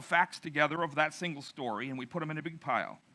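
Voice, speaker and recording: Talking at a very fast pace, a man with a fairly high pitch and a bright, sharp tone uses ordinary pitch variation. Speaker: pastor. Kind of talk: sermon. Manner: casual and humorous, with fillers.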